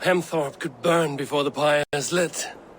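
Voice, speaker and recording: A man puts on a raspy character voice with a fairly high pitch, speaking at a moderate pace. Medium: video game. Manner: firm, authoritative.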